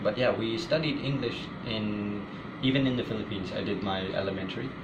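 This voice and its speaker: Over noticeable background noise and audible room echo, a man with a fairly low pitch talks at a moderate pace with fairly even intonation. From Pakistan. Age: 20s. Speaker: interviewee. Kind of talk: interview. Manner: halting.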